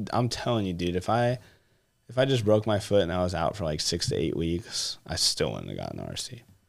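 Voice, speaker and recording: A man with an American accent has an ordinary speaking voice, fairly low pitch and lively intonation. The recording is very clean and the background silent. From California. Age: 20s. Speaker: RC car racer. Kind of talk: casual chat. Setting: studio.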